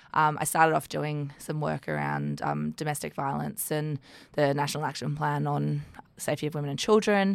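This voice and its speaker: Speaking at a moderate pace, the woman talks with an Australian accent. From Sydney, Australia. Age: 30s. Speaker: regional development executive. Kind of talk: interview. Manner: hesitant with frequent fillers.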